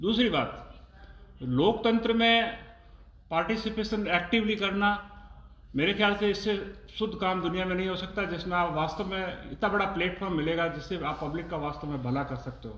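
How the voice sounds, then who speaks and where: Noticeable background noise and audible room echo surround a man with a high pitch and ordinary pitch variation. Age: 60s. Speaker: oncologist doctor. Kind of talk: interview. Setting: live stream.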